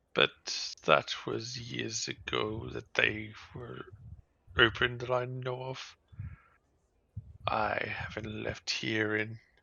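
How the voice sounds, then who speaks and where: Using a put-on character voice, a man speaks at a medium pitch and a very slow pace, with long, frequent pauses. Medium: actual play. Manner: slow, courteous.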